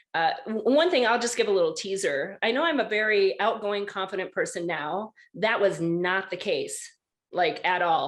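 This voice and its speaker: A woman with an American accent, an ordinary speaking voice at medium pitch, ordinary pitch variation and a moderate pace. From rural Wisconsin. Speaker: podcast host. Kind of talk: casual chat.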